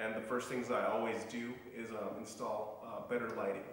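Monotone, flat intonation rings out with strong room echo. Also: man. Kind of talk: casual vlog chat. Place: garage. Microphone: camera far.

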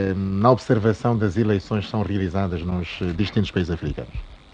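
In an unremarkable speaking voice, a man keeps to a moderate pace. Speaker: radio host. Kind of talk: interview.

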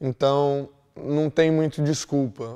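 Over a quiet background, a man's fairly high voice carries a dark, mellow tone and fairly even intonation. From Brazil, Londrina, Paraná; Paraná, Brazil. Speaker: exchange student. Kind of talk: testimonial. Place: office.

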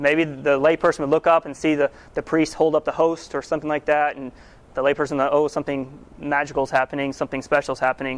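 A man talks at a very fast pace in a fairly high pitch. His intonation is monotone and flat, and the sound is dry and close with no echo. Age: 30s. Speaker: church teacher. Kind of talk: lecture. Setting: church hall with audience.

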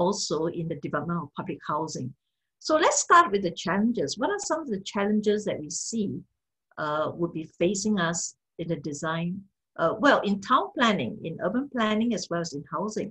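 A woman talks fairly quickly over a quiet background. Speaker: speaker. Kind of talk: lecture. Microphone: video call.

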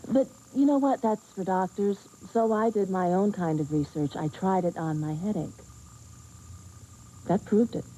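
A woman speaks at a medium pitch and a fairly slow pace. Her tone is dark and mellow, with ordinary pitch variation.

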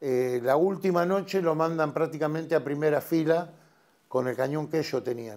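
Pitch shifts in an ordinary way as the talking proceeds at a moderate pace. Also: man, fairly high pitch for a man, quiet background. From Argentina, Luján, Buenos Aires province; Buenos Aires province, Argentina. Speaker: war veteran. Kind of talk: testimony. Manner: hesitant, many fillers. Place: studio. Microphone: lapel.

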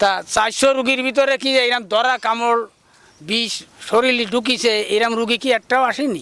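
Raising and projecting his voice, a man speaks at an extremely high pitch with monotone, flat intonation. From Bangladesh, Khulna area (Dighalia). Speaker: traditional snake healer and fisherman. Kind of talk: interview. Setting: outdoors. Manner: halting.

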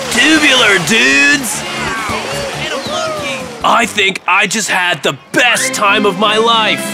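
In a cartoonish character voice, a man speaks slowly in a high pitch with a bright, sharp tone, vocal fry and ordinary pitch variation, while faint music plays in the background.

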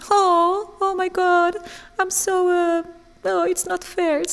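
A put-on character voice, whiny and soft-spoken, at an extremely high pitch and a very slow pace. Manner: whining.

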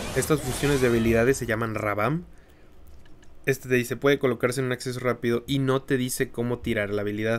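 A man with a Mexican accent at a very fast pace, his intonation fairly even. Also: medium pitch for a man. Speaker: gaming YouTuber. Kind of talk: tutorial. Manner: casual, conversational.

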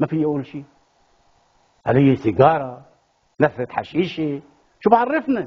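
A man's fairly high, somewhat breathy voice with lively intonation, a fairly slow pace and long, frequent pauses, against a quiet background. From Lebanon. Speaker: playwright and theatre director; talk show guest. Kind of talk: TV talk show interview. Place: studio. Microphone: lapel.

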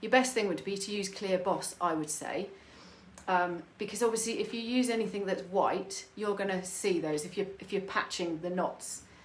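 In a British accent, a woman at medium pitch talks at a moderate pace with fairly even intonation. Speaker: furniture painter. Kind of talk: live tutorial. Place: home room. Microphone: phone near.

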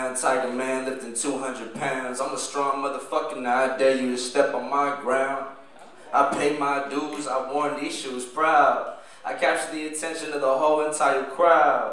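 There is audible room echo as a man speaks at a moderate pace. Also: fairly high pitch for a man. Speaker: spoken word poet. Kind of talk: spoken word poetry performance. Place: stage.

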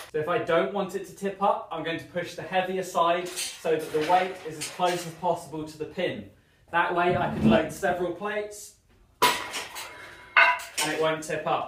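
A man speaks at a moderate pace. There is audible room echo and loud background noise. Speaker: fitness instructor. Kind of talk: tutorial. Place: gym. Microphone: camera far.

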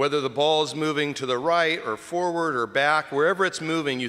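The speaker is a man with a warm tone. He talks at a fairly quick pace. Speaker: deacon preaching. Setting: church during Mass. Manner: warm, conversational, teaching. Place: church. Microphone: podium.

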